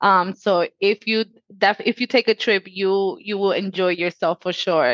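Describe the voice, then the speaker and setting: Dry and close with no echo, the recording holds a woman's unremarkable speaking voice over a quiet background. She talks at medium pitch and a moderate pace with ordinary pitch variation. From Dominican Republic and Puerto Rico, then Connecticut from age 11. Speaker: customer care manager. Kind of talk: casual interview.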